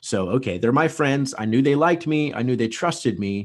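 With a quiet background behind him, a man uses a normal speaking voice, a fairly quick pace and lively intonation. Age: 30s. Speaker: real estate agent and business founder. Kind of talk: podcast interview.

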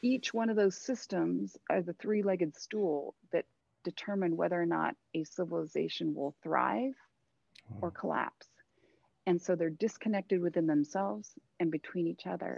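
In a Californian accent, a woman speaks at a moderate pace, the sound dry and close with no echo. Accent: Californian American English. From Southern California, Thousand Oaks. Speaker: artist. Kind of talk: interview conversation.

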